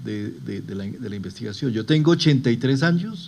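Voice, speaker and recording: A man with an ordinary speaking voice, medium pitch and a moderate pace. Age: under 60. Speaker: health official presenting survey results. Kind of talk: presentation.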